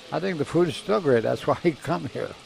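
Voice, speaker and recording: Noticeable background noise sits behind the recording. A man with an American accent talks fairly quickly over it. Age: 80s+. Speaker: restaurant customer. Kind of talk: interview.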